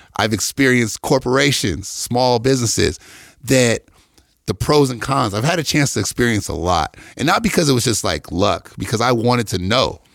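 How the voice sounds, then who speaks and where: A man with an American accent, medium-pitched, at a moderate pace with lively intonation. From US Midwest, Detroit. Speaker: athletic trainer. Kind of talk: casual chat. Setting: studio.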